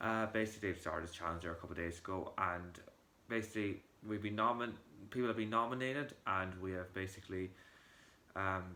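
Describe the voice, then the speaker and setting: A man with an Irish accent, fairly low in pitch, bright and sharp in tone, at a fairly quick pace with ordinary pitch variation. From Ireland, County Monaghan. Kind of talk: casual talk to camera.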